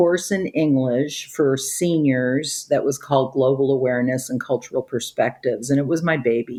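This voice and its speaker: A woman with a Midwestern American accent talks at a very deep, low pitch and a moderate pace, with ordinary pitch variation. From Chicago, US Midwest. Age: 60s. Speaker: retired high school teacher. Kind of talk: interview conversation. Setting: video call.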